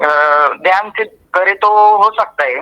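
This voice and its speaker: With a Marathi accent, a man speaks in a raised, projected voice at a high pitch, with ordinary pitch variation and a dry, close sound with no echo. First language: Marathi (speaking Hindi). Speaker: student. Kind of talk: testimonial. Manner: halting.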